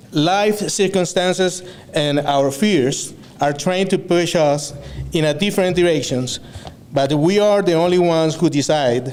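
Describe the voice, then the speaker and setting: There is audible room echo and noticeable background noise as a man with a Venezuelan accent speaks with ordinary pitch variation. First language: Spanish. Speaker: student speaker. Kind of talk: graduation speech. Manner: halting, with many fillers and self-corrections.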